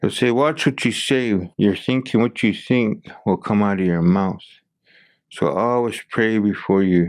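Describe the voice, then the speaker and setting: A normal speaking voice with ordinary pitch variation moves at a fairly slow pace. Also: man. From Blackfoot community, Alberta, Canada. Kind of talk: podcast interview answer.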